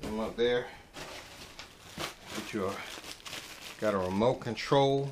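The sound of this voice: A man's fairly low voice at a slow pace, with ordinary pitch variation and audible room echo.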